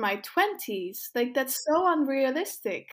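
A woman talks at a fairly slow pace. Her pitch is high. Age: 20s. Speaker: podcast co-host. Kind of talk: casual chat.

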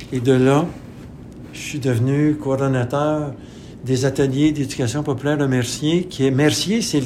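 This man's fairly high voice carries audible room echo. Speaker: retired community organization director. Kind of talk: interview testimony. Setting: radio studio.

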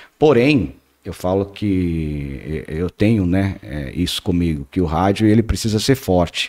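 A man's very deep, low voice at a fairly slow pace, with lively intonation. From Paraná, Brazil. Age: 30s. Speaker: radio station director. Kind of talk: casual chat.

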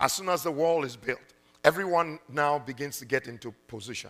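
Music plays behind a man with a fairly high pitch. His tone is animated and his pitch variation ordinary. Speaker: preacher. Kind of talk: sermon. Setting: church. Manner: animated, urgent, call-and-response exhortation; punchy, laughing, conversational.

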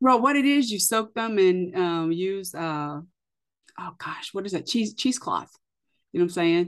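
Against a quiet background, a woman with an unremarkable speaking voice and medium pitch speaks at a moderate pace with lively intonation. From US, military bases. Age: 50s. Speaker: podcast host. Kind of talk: casual interview chat.

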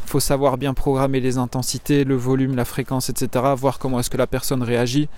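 Hardly pausing, a man talks at a fairly quick pace and medium pitch. His intonation is monotone and flat, his loudness very even. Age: 20s. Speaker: fitness coach. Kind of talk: casual monologue. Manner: halting.

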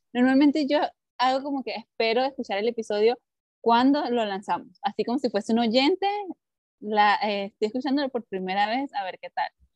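Shrill and lively in intonation, the voice moves at a fairly quick pace in a dry, close recording with no echo. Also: woman, high pitch for a woman. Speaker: podcast co-host, teacher. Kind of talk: casual chat. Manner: gets louder and higher when excited.

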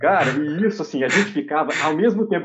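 A man talks at a fairly quick pace. He has an ordinary speaking voice and lively intonation. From Minas Gerais, Brazil (Oliveira, interior). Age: 30s. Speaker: university professor. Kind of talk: casual interview chat, personal storytelling.

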